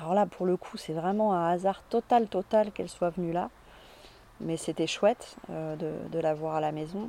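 A woman speaks at a fairly slow pace in a dark, mellow tone. Her pitch varies in an ordinary way, and the sound is dry and close with no echo. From Paris suburbs, France. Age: 40s. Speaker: cultural venue founder, former engineer. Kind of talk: personal testimony interview. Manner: hesitant, many fillers.

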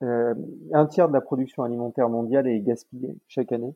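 His pitch is medium, with ordinary variation. The man keeps a moderate pace. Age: 30s. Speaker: sales professional. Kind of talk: interview. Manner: hesitant, many fillers.

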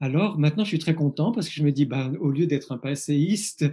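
Over a quiet background, a man talks at a moderate pace. His voice is somewhat breathy, with a dark, mellow tone. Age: 50s. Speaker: psychologist and author. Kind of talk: interview. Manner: halting; reflective.

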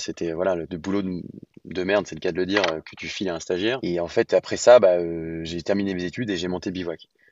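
Very deep, low-pitched male speech at a very fast pace with fairly even intonation. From France, Lyon. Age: 30s. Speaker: real estate entrepreneur. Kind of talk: podcast interview. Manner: hesitant, many fillers.

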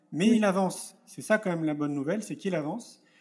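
A man speaks very fast in a high pitch with ordinary variation. The recording is very clean, with a silent background. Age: 40s. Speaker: entrepreneur and speaker. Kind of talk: interview.

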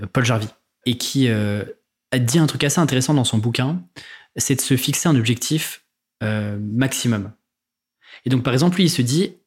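On a very clean recording with a silent background, a man speaks at medium pitch. His voice is somewhat breathy, with ordinary pitch variation. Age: 20s. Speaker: freelancing podcaster and author. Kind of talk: casual interview.

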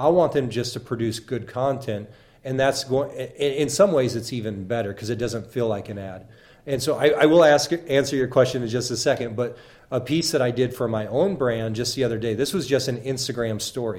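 Speaking with an American accent, a man talks at a fairly quick pace in a medium pitch with ordinary pitch variation. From southern Illinois. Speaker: social media influencer and university marketer. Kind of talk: interview. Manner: hesitant, many fillers.

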